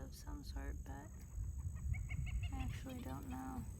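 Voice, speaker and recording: Over noticeable background noise, the speaker talks at a very slow pace with ordinary pitch variation. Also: woman. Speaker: shamanic reiki practitioner and ASMR creator. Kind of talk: casual talk to camera. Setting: outdoors, windy park.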